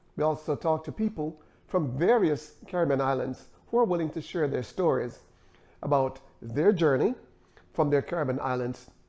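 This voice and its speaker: A man with a Jamaican accent speaks at a moderate pace, his pitch fairly high and his tone dark and mellow. His intonation is lively, and the background is quiet. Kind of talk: channel intro to camera.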